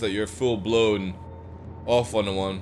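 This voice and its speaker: Music plays in the background while a man speaks at a moderate pace. The room echo is audible. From Scotland, Edinburgh. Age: 40s. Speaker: gaming streamer. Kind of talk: casual chat. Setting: live stream.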